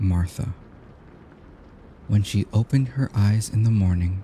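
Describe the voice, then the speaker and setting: This voice has a dark, mellow tone that is soothing and gentle, a little breathy. It moves at a fairly slow pace with ordinary pitch variation. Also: man. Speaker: audiobook narrator. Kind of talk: sleep story reading. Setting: rain sounds in background. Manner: soothing, gentle.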